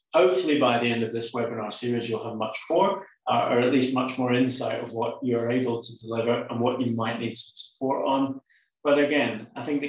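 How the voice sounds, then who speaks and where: Audible room echo around a man talking at a fairly quick pace. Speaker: marketing automation consultant. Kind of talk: webinar presentation. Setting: video call. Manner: fast.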